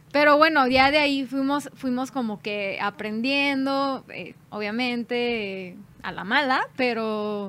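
At a very slow pace and with hardly any pauses, a woman speaks in a high, bright, sharp voice with ordinary pitch variation and big swings in loudness. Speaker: band singer. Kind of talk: casual chat.

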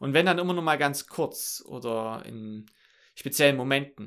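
A bright, sharp voice at a fairly slow pace with ordinary pitch variation, in a very clean recording with a silent background. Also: man. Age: 20s. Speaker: podcast host. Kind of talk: solo podcast monologue. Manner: many filler sounds, somewhat halting.

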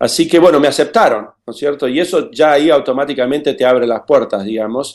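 The speech runs on with hardly any pauses. Its intonation is lively. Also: man, fairly high pitch for a man. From Argentina, Buenos Aires. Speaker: aerospace engineer. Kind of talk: interview. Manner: halting, many fillers.

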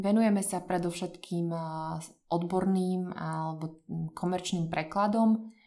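With a dark, mellow tone, a woman of medium pitch talks at a moderate pace with fairly even intonation. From central Slovakia, Podpoľanie region. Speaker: translator. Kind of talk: casual interview.

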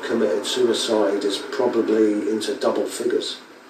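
A man talks at a fairly quick pace with audible room echo. Noticeable background noise sits under his voice. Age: 50s. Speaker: video blogger. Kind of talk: reflective monologue.

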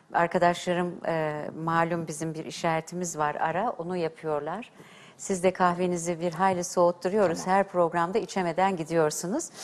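Speaking at a moderate pace, a woman holds a monotone, flat intonation in a fairly low pitch. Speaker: TV host and diction teacher. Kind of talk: TV talk show hosting. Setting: TV studio. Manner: formal.

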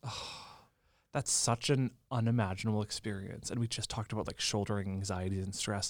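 A man with an unremarkable speaking voice talks at a fairly low pitch, his intonation fairly even. The recording is very clean, with a silent background. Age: 30s. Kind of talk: casual interview.

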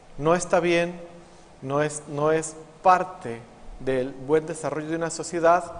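Over noticeable background noise, a man speaks with a Mexican accent. His pitch is fairly high and his pace fairly slow. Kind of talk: homily.

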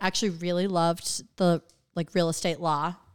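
A woman with an unremarkable speaking voice talks at a fairly quick pace. The recording is very clean, dry and close, with a silent background and no echo. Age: 30s. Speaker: real estate agent. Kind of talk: casual chat.

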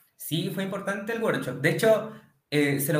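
Speech with lively intonation moves at a moderate pace, with audible room echo. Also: man. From Chile, Santiago. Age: 20s. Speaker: electrical engineer, client testimonial. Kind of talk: testimony.

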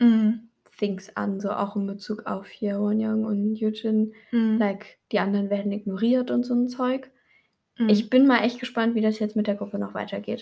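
Fairly high in pitch, a woman's voice comes out somewhat breathy. Her intonation is monotone and flat. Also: moderate pace. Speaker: podcast co-host. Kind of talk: casual chat.

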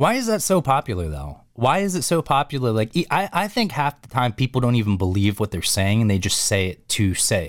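A man with a medium pitch talks at a fairly quick pace with hardly any pauses and very wide pitch swings. The sound is dry and close with no echo, on a very clean recording with a silent background. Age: 30s. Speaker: podcast host. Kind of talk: casual chat.

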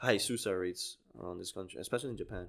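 Someone with a non-native accent talks at a very fast pace with ordinary pitch variation, in a very clean recording with a silent background. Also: man. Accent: foreign-accented English. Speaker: podcast co-host. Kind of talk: casual banter, profane. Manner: laid-back, joking.

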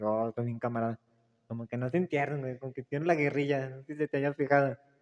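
Fairly high in pitch, a man speaks in a dry, close sound with no echo. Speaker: podcast host. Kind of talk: casual chat. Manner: relaxing.

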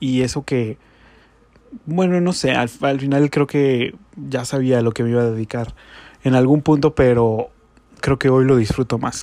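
At a moderate pace, a man speaks with fairly even intonation. His voice sits at a medium pitch. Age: 20s. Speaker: podcaster. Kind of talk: casual monologue. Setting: home bedroom.

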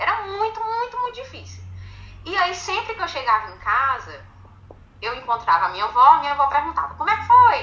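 Raised and projected, a woman's extremely high voice has a bright, sharp tone, very wide pitch swings and big swings in loudness. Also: fairly quick pace. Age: 30s. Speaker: women's football supporters' group president. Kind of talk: interview.

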